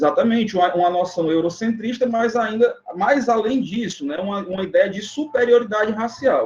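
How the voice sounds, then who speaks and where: This man has a high pitch and ordinary pitch variation. He keeps a moderate pace with hardly any pauses. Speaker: teacher. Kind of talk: online exam review lecture. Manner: hesitant, many fillers.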